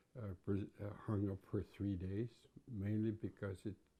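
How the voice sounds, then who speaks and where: A man's fairly low, dark, mellow voice, somewhat breathy, in a monotone, flat intonation at a fairly slow pace. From west coast of Vancouver Island, Canada (Nuu-chah-nulth). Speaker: First Nations elder. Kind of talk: interview, personal recollection. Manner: halting, with frequent repetitions.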